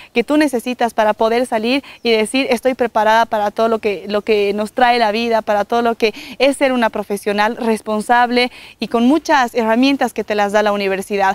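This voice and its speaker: Speaking at a fairly quick pace, a woman keeps her fairly high pitch in fairly even intonation. The sound is dry, with no echo. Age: 20s. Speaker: TV presenter and university student; TV presenter. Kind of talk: promotional testimonial. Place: open country. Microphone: lapel.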